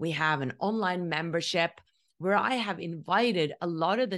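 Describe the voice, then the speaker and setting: Against a quiet background, the speaker talks with a Norwegian accent. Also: woman. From Norway. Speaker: spiritual podcast host. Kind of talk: solo monologue.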